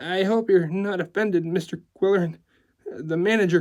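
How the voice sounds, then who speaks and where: In a put-on character voice, the speaker sounds shaky, keeping a moderate pace and fairly even intonation. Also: man, high pitch for a man. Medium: read story. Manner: stammering, apologetic.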